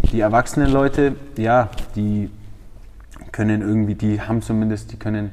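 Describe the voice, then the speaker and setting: A man is speaking. His pace is moderate. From Franconia, Germany (Feucht near Nuremberg). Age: 20s. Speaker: MMA fighter and trainer. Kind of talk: interview. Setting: gym.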